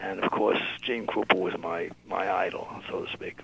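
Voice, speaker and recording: This man has a New York accent. He talks at a moderate pace. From New York City. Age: 80s+. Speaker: music label founder and drummer. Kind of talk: interview. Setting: radio show. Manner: halting.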